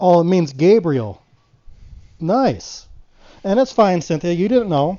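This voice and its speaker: A man speaks at a very slow pace, with long, frequent pauses. His pitch is high for a man and his intonation is lively. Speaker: streamer. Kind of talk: casual live stream cooking chat.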